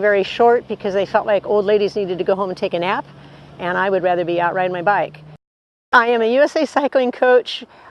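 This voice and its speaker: Her pitch sits at a medium level. The woman has an unremarkable speaking voice. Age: 60s. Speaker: ultra-distance cyclist and cycling coach. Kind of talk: interview monologue.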